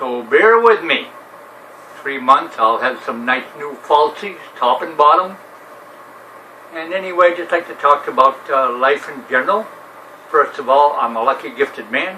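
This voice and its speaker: A man with an American accent speaks at a moderate pace, his fairly high pitch carrying lively intonation and big swings in loudness. Long, frequent pauses break up his speech over noticeable background noise. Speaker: retired navy veteran vlogger. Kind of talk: casual monologue.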